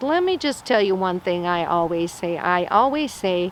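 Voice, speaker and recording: Using an ordinary speaking voice at medium pitch, a woman talks at a fairly slow pace. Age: 60s. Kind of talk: short sermon. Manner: conversational.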